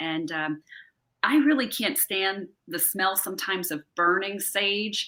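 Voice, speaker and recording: Speaking fairly slowly in a New Jersey accent, a woman uses a fairly low voice with a bright, sharp tone and ordinary pitch variation. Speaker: holistic wellness advocate. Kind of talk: casual interview chat.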